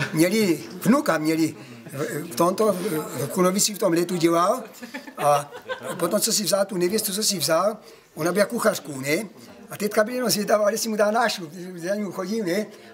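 A man with a Moravian Slovak accent speaks in a high voice with ordinary pitch variation. Long, frequent pauses break up his speech, with noticeable background noise. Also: moderate pace. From Moravian Slovakia, Czech Republic. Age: 70s. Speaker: elderly villager. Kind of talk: interview answer. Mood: humorous, animated. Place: garden. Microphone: phone near.

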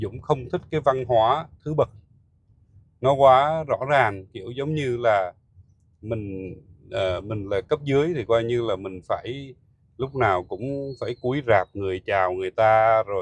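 A man's very slow speech comes over a quiet background. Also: ordinary pitch variation, dry sound with no echo. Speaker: software engineer vlogger. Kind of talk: casual vlog chat. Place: car. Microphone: phone near.

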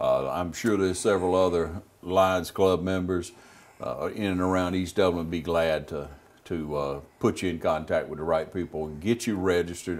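At a moderate pace, a man talks with fairly even intonation and a very deep, low pitch. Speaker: interview host. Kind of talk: interview talk. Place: studio. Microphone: lapel.

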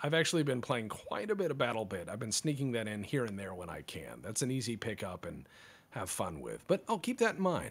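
A man at a fairly quick pace, with vocal fry, very wide pitch swings and big swings in loudness. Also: medium pitch for a man. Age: 30s. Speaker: streamer. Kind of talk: casual chat.

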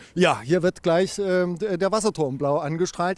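On a very clean recording with a silent background, a man speaks in a high pitch with ordinary pitch variation. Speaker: TV reporter. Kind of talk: live on-site report.

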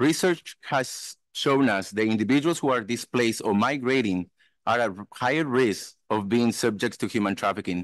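A man at a moderate pace, with ordinary pitch variation and very even loudness, in a dry sound with no echo and a quiet background. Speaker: anti-trafficking consultant and survivor; conference speaker. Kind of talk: keynote testimony. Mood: earnest, personal. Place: hall. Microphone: podium.

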